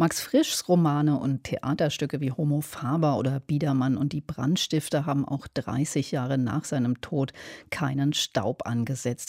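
The voice has a dark, mellow tone, a moderate pace and a dry, close sound with no echo. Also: woman. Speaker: radio announcer. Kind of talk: news announcement.

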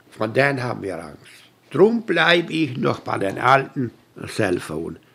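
This man's voice sits at a medium pitch and swings very widely up and down. He talks at a fairly slow pace. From Canada, Hutterite colony. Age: 80s+. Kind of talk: interview.

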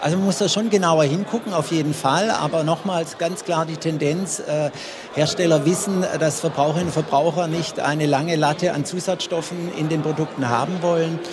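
Over noticeable background noise, a man speaks at a moderate pace in a high pitch with fairly even intonation. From Swabia, Germany. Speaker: consumer advice nutrition expert. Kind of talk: radio panel discussion. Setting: trade fair stand.

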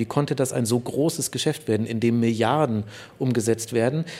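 Talking at a fairly quick pace, a man with a dark, mellow tone shows ordinary pitch variation on a very clean recording with a silent background. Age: 30s. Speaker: sports journalist and author. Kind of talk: interview.

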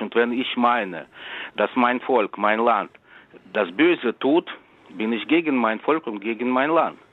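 A man speaks at a fairly slow pace with a Russian accent. His pitch varies in an ordinary way. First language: Russian (speaking German). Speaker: writer. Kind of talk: interview.

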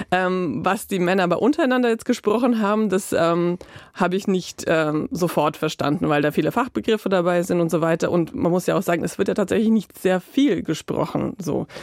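A woman speaks at a fairly quick pace with a medium pitch. Her intonation is lively and her loudness very even. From Croatia. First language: Croatian (speaking German). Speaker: freelance journalist. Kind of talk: interview; narrated radio feature.

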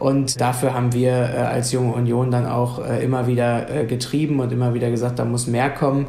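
Over noticeable background noise, a man speaks in a flat, monotone way. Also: medium pitch for a man, moderate pace. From Lower Saxony, Germany. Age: 30s. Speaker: youth wing politician. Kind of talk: radio interview.

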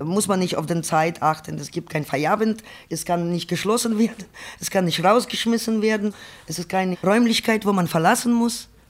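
A woman with an Eastern European accent talks at a moderate pace. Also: medium pitch for a woman, ordinary pitch variation. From Ukraine. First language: Ukrainian or Russian (speaking German). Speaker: sex worker. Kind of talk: personal testimony.

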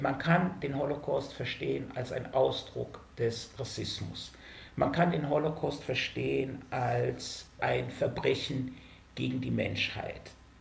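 A man at a very slow pace, with audible room echo. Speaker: sociologist, author. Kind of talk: interview. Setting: remote connection.

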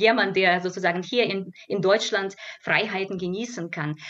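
A woman's medium-pitched voice proceeds at a moderate speed. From Belarus. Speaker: cultural scientist. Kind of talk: radio panel discussion. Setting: radio studio. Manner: halting.

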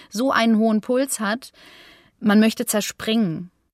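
A plain, everyday voice at a moderate pace. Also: woman. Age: 30s. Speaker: long covid patient, singer and voice artist. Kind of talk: interview testimony.

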